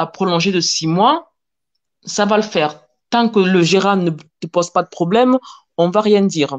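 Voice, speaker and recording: A woman speaks at a fairly slow pace and a medium pitch. The sound is dry and close, with no echo. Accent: southern French. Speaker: panel guest sharing immigration experience. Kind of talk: testimony.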